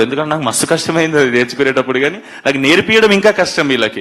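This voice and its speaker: The pitch shows ordinary variation, with noticeable background noise behind the voice. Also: man. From Telangana. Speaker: actor. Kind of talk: speech at a film teaser launch event. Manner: casual, energetic.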